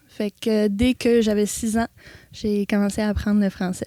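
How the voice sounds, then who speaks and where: Dark, mellow tone from a woman with an English Canadian accent, moderate pace, dry, close sound with no echo. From Ontario, Canada. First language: English (speaking French). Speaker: animal sanctuary owner. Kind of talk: interview.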